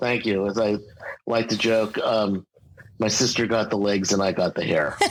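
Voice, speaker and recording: An unremarkable speaking voice from a man with an American accent, fairly low in pitch, fairly even intonation, very even loudness, moderate pace. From US Northeast, Westchester County, New York. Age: 60s. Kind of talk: interview.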